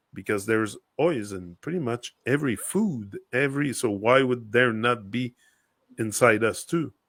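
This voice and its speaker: In a French accent, a man at medium pitch talks at a moderate pace, recorded dry and close with no echo, very clean, the background silent. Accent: French accent, noticeable H on oil. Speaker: podcast co-host. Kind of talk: casual chat.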